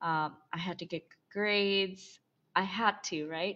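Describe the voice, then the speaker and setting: A woman's voice with ordinary pitch variation against a quiet background. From Bangladesh, moved to US as teen. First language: Bengali. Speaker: somatic and intimacy coach. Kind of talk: interview, personal story.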